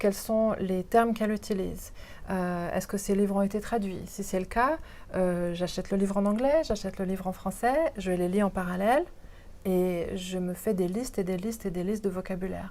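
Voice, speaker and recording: On a very clean recording with a silent background, a woman speaks with a dark, mellow tone and ordinary pitch variation. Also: medium pitch for a woman, moderate pace. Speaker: interpreter and voiceover artist. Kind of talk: interview answer.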